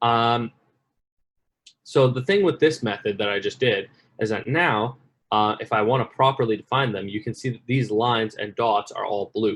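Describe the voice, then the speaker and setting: A man's medium-pitched, an unremarkable speaking voice, at a moderate pace with ordinary pitch variation. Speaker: workshop instructor. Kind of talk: tutorial.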